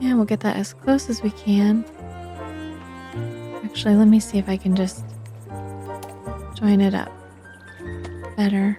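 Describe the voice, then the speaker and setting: Soft-spoken delivery in a calm, gentle tone at a moderate pace, with long, frequent pauses and music in the background. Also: woman. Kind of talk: casual gameplay commentary. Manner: soft-spoken, calm, gentle.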